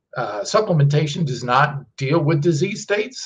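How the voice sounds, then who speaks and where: A somewhat breathy man speaks at a moderate pace. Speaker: presenter. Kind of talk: live stream talk on nutrition research. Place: office.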